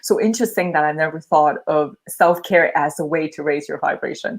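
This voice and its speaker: A woman speaks with a non-native accent. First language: not English. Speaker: channel host being coached. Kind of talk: live coaching session. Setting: livestream video call.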